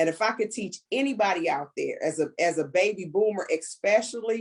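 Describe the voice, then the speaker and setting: A woman's fairly high voice carries lively intonation. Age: 60s. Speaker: network marketing team leader. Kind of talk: casual chat. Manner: animated.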